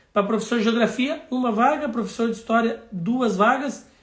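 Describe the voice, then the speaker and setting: A moderate pace with audible room echo. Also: man. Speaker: city councillor. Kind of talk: live stream talk.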